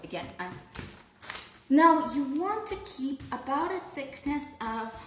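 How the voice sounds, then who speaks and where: Over noticeable background noise and audible room echo, a woman speaks at a high pitch with very wide pitch swings. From Russia. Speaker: food blogger. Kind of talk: live cooking demonstration. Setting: live online broadcast. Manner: casual, chatty.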